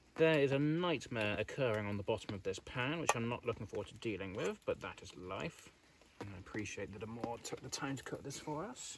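A man's medium-pitched voice with a slightly husky edge, a fairly quick pace and lively intonation

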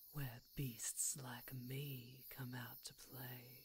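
A woman uses a put-on character voice with a menacing tone, her pitch very deep and low. She talks at a very slow pace in a monotone, flat intonation. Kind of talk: ASMR roleplay, close-mic. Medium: audio drama. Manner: menacing, teasing, purring.

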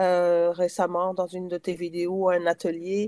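A dark, mellow tone moves at a very slow pace over a quiet background. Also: woman. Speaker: participant. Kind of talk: storytelling. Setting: video call. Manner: hesitant. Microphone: video call.

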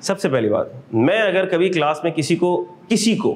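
A man is speaking. His pace is moderate. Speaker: accounting lecturer. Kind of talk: lecture. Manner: animated. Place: classroom.

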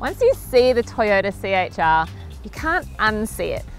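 Music plays in the background, and the sound is dry with no echo. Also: woman. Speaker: presenter. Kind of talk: presenter review to camera. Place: open country. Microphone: lapel.

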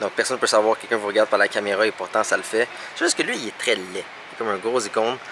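A man speaks very fast with a Quebec accent, the sound dry with no echo and light noise in the background. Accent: Québécois French. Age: 20s. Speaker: vlogger. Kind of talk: casual vlog talk; tech tutorial. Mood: annoyed, sarcastic. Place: shop. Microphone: phone near.

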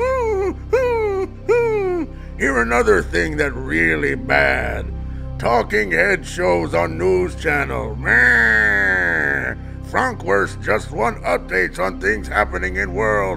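Loud music plays in the background while a man puts on a cartoonish character voice at a very slow pace. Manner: halting, grunting broken speech.

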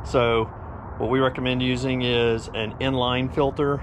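Against noticeable background noise, a man speaks in a monotone, flat intonation. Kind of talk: casual tour walkthrough. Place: street. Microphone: phone near.

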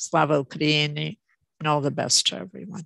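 A woman with a very deep, low pitch and vocal fry speaks at a moderate pace, in a dry sound with no echo against a quiet background. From Canada. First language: Ukrainian. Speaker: professor. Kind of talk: lecture. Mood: warm, grateful closing. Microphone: video call.

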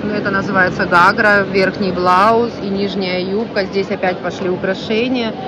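A woman talks fairly slowly in a monotone, flat delivery. The sound is dry with no echo, though noticeable background noise comes through. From Ukraine. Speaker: vlogger. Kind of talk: walking vlog tour. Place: market. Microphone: phone near.

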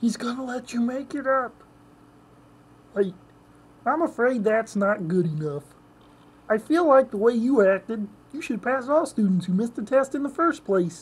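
A female-sounding, put-on character voice speaks at a fairly high pitch and a moderate pace. Long pauses come often. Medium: role play. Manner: nasal, comic.

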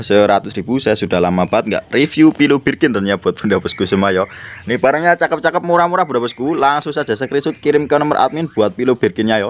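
A man talks at a very fast pace, his pitch swinging very widely. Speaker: online plant seller. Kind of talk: street-market sales pitch, rattling off plant prices to viewers. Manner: rapid-fire hawker patter, repeating prices and pet phrases; jokey and playful. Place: garden. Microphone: phone near.

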